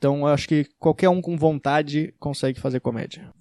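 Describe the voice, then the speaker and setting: A man with a slight gaúcho accent talks at a fairly quick pace in a fairly high pitch with a dark, mellow tone. His intonation is monotone and flat, and the sound is dry and close with no echo. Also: very clean recording, silent background. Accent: slight gaúcho accent, uses 'tu'. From Rio Grande do Sul, southern Brazil. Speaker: stand-up comedian. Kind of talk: casual Q&A video. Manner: casual, some stammering.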